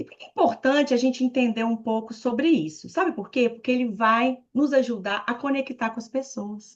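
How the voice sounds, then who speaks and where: A woman with a high pitch speaks in an animated tone at a moderate pace, using ordinary pitch variation. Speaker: national sales director, leadership trainer. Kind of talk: training talk on video call.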